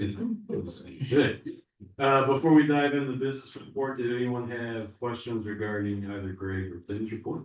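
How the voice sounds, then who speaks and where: A man speaks at a moderate pace and a medium pitch, with ordinary pitch variation. His loudness swings widely. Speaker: school district administrator. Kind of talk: board meeting report.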